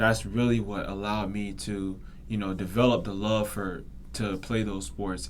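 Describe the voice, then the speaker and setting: Fairly low-pitched man with an American accent, in audible room echo. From Florida (Daytona Beach). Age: 20s. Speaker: podcast host, student. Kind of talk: casual monologue. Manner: hesitant, many fillers.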